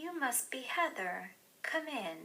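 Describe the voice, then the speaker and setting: Using a put-on character voice, a woman speaks in a high pitch with very wide pitch swings. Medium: read story. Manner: warm, smiling.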